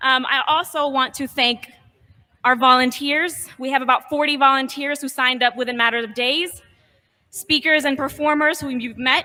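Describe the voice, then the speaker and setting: A woman with a high pitch and a bright, sharp tone uses a raised, projected voice with fairly even intonation. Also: moderate pace. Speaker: rally organizer. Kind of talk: rally speech. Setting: outdoors.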